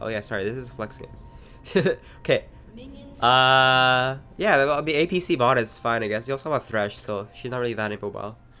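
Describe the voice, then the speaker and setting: A moderate pace over music in the background. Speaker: streamer and game coach. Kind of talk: gameplay commentary review. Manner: casual, hesitant with fillers.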